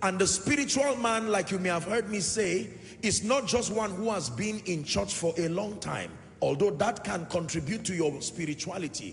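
Noticeable background noise runs behind a man whose voice is high-pitched. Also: moderate pace. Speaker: preacher, church minister. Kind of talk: sermon, teaching to a congregation.

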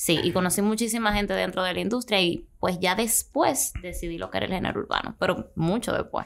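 The voice shows vocal fry and ordinary pitch variation, moving at a fairly quick pace with hardly any pauses. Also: woman. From Dominican Republic. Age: 20s. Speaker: singer; podcast guest. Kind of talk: interview. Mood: relaxed, friendly. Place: studio. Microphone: studio mic.

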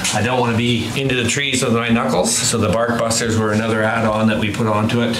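A man rushes through his words very quickly while noticeable noise runs behind him. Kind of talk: interview answer, walkaround explanation. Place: garage. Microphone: camera far.

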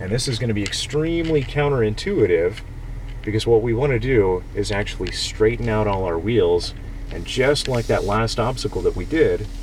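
The sound is dry with no echo, with light background noise. A man speaks at a moderate pace. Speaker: off-road driving instructor. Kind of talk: instruction. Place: car. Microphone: phone near.

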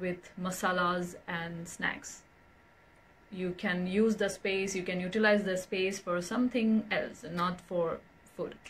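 Against light background noise, a woman with an Indian accent speaks at a very slow pace in a monotone, flat intonation. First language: Hindi. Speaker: vlogger. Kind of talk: casual vlog talk to camera. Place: home room. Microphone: phone near.

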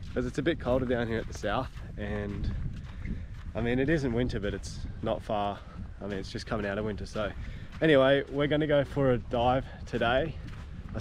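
The speaker keeps a moderate pace with long, frequent pauses and ordinary pitch variation. The sound is dry with no echo, though background noise is noticeable. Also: man. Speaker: travel vlogger. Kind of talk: casual vlog chat. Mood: cheerful, relaxed. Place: beach. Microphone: phone near.

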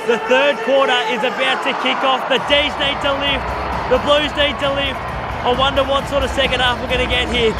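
Music plays in the background while a man talks at a moderate pace. The sound is dry with no echo. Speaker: sports fan vlogger. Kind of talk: casual match commentary vlog. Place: stadium. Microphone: phone near.

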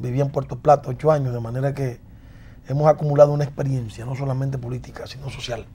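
A man speaks very fast at a medium pitch, his intonation monotone and flat. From southern Dominican Republic. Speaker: congressman; politician guest. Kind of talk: interview. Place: studio. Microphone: lapel.

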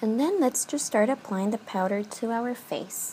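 Woman speaking over light background noise. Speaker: beauty vlogger. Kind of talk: tutorial. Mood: calm, friendly. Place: home room. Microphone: phone near.

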